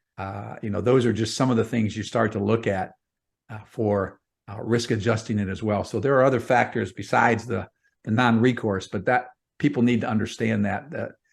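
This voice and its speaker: A man with a normal speaking voice, medium pitch and a fairly quick pace. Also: fairly even intonation. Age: 60s. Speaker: real estate investor. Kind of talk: podcast interview.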